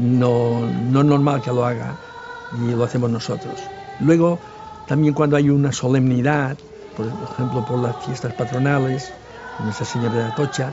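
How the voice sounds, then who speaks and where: A man with a medium pitch talks at a moderate pace, his intonation fairly even and broken by long, frequent pauses. Music plays in the background, and the room echo is audible. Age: 70s. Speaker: village elder. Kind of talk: documentary interview. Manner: halting.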